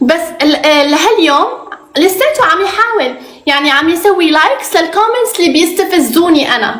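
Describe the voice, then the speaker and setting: A woman at an extremely high pitch and moderate pace, with lively intonation and very even loudness, plus audible room echo and noticeable background noise. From Morocco. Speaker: reality TV contestant. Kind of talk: interview.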